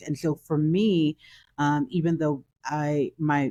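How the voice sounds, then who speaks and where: A woman's very deep, low pitch with a dark, mellow tone, in a New York accent, over a quiet background. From Brooklyn, New York. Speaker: author. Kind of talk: interview.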